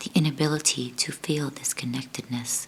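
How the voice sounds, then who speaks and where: Whispering and soft-spoken, the voice moves at a fairly slow pace over noticeable background noise. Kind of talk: book reading aloud. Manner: soft-spoken, almost whispering.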